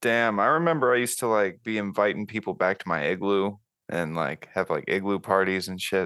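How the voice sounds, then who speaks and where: A man with a fairly low pitch speaks at a fairly quick pace in a bright, sharp, animated tone. The background is quiet. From US Florida. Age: 20s. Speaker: podcast host. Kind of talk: casual chat. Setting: video call. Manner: joking, animated.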